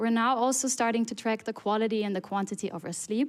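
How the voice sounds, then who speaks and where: A fairly quick delivery with ordinary pitch variation in a very clean recording with a silent background. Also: woman. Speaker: conference speaker. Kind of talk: conference talk. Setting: stage with audience. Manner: fast.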